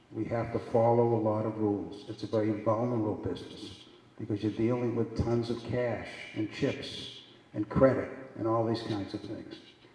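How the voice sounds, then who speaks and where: A man talks at a moderate pace in a medium pitch with monotone, flat intonation. There is audible room echo and noticeable background noise. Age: 70s. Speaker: keynote speaker, business executive. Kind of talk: keynote speech. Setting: stage with audience. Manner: repetitive, halting.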